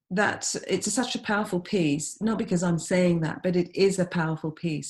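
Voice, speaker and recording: A woman with a London accent, fairly low-pitched and somewhat breathy, at a fairly slow pace with ordinary pitch variation, on a very clean recording with a silent background. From East London, England. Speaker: experimental vocalist and composer. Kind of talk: interview answer.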